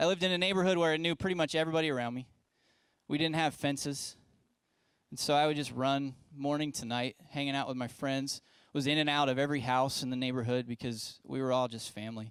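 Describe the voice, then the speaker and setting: Fairly high in pitch, a man with an American accent shows ordinary pitch variation and leaves long, frequent pauses. The recording is very clean, with a silent background. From West Virginia, US. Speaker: pastor. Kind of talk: sermon to young adults. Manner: casual, conversational with filler words.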